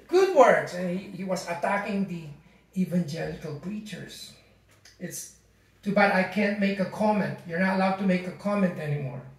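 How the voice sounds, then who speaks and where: Someone speaks at a moderate pace with a Filipino accent. Audible room echo surrounds the voice. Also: man. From Philippines. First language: Tagalog. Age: 60s. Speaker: pastor. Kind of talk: sermon. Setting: church. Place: home room.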